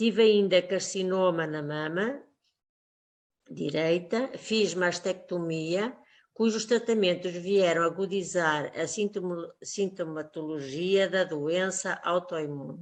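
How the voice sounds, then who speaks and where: A woman talks very slowly with a quiet background behind her. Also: fairly low pitch for a woman, ordinary pitch variation. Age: 60s. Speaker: teacher. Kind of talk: testimony. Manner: formal.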